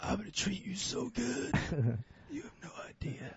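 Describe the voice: A man uses a put-on character voice, high-pitched and raspy, with very wide pitch swings. He keeps a moderate pace.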